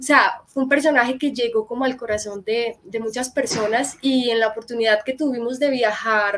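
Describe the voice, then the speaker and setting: A woman's ordinary speaking voice with fairly even intonation. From Colombia, Medellín. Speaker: actress and psychologist. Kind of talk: live-stream interview.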